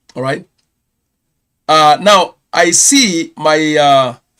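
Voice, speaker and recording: A man with a Kenyan accent, a fairly high pitch and a bright, sharp tone. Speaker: pastor and channel host. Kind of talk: live stream news round-up. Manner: hesitant, with many fillers.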